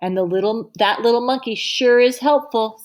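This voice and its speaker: In a put-on character voice, the speaker moves at a moderate pace with ordinary pitch variation. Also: woman, fairly high pitch for a woman. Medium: read story.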